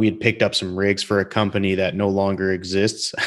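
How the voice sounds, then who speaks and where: Against a quiet background, a man with a plain, everyday voice speaks at a moderate pace in a fairly low pitch. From Calgary, Alberta, Canada. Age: 30s. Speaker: podcast host. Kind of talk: casual interview chat. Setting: video call.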